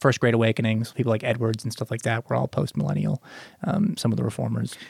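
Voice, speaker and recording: Vocal fry runs through this man's voice, recorded with a dry, close sound and no echo. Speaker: co-host. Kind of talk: casual chat, Bible discussion. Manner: talkative, repeats filler words.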